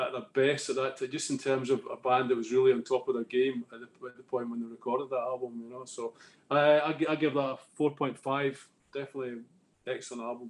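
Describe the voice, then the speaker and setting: A man in a Scottish accent, medium pitch, monotone, flat intonation and a very fast pace. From Scotland. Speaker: music fan panelist. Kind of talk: casual chat. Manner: halting.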